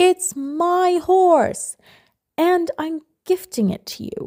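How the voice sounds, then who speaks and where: Putting on a character voice, a woman speaks very slowly at an extremely high pitch with very wide pitch swings, in a dry, close sound with no echo. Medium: read story. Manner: insistent.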